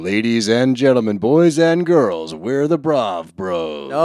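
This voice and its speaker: A man in a put-on character voice booms at medium pitch, moving at a fairly slow pace with very wide pitch swings. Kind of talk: announcer. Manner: booming, showy, over-the-top.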